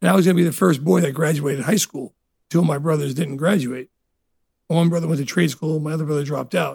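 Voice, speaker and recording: A man talks very fast in a New Jersey accent. His pitch varies in an ordinary way. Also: fairly high pitch for a man. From New Jersey (Elizabeth), Italian immigrant family. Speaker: restaurateur. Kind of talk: casual interview.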